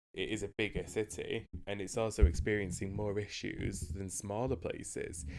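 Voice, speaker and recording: A man in a Mancunian accent talks at a moderate pace with hardly any pauses, his fairly low pitch showing ordinary variation. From northern England, Manchester. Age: 30s. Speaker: podcast co-host. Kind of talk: casual chat. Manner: loud, expressive.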